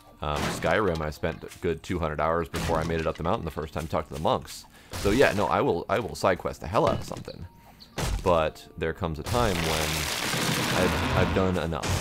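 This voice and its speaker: Over noticeable background noise, a man with a very deep, low voice and an American accent talks at a fairly quick pace with ordinary pitch variation. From United States. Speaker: gaming streamer. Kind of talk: casual chat.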